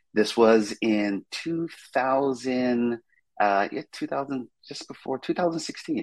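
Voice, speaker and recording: A man talks at a fairly slow pace in an unremarkable speaking voice. His pitch is medium, with ordinary pitch variation. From Brooklyn, New York. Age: 50s. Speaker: real estate broker and Marine veteran. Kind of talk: interview.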